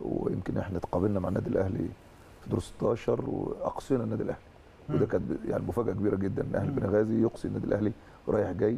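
A man talks at a very fast pace with light background noise. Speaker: football coach guest. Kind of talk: interview answer. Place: studio. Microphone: lapel.

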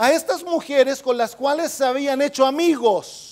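A man's extremely high-pitched voice at a fairly slow pace, over a quiet background. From Chile. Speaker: pastor; preacher. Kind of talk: sermon. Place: studio. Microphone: handheld.

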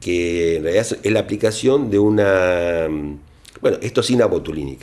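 A man's fairly slow speech. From Argentina. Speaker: plastic surgeon. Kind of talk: interview. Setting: doctor's office. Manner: halting. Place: office.

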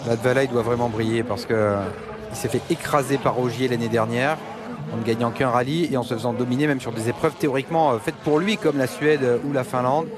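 A man talking fairly quickly with ordinary pitch variation, amid noticeable background noise. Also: medium pitch for a man. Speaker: rally expert co-commentator. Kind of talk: live race commentary. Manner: explanatory, knowledgeable.

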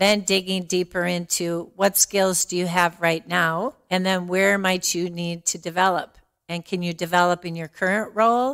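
A woman with a normal speaking voice talks at a moderate pace in a fairly low pitch, with fairly even intonation and hardly any pauses. The recording is very clean, with a silent background. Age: 60s. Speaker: diversity and inclusion director. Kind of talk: casual chat.

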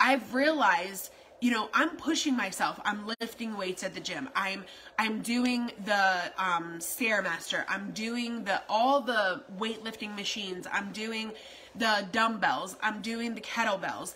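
Amid light background noise, a woman talks at a fairly slow pace with ordinary pitch variation. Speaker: keto lifestyle vlogger. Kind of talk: casual vlog chat. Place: home room. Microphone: phone near.

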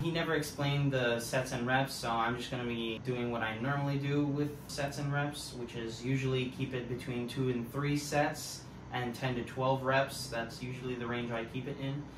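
A man at a moderate pace, flat and monotone, with hardly any pauses over noticeable background noise. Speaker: fitness vlogger. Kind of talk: casual vlog chat. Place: home room. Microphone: camera far.

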